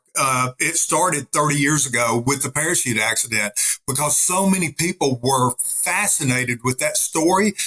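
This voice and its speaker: A man with a Southern US accent speaks at a moderate pace with a bright, sharp tone, fairly high pitch and ordinary pitch variation, in a dry, close sound with no echo. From Arkansas. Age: 60s. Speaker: retired army officer and pastor. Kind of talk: interview conversation. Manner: animated.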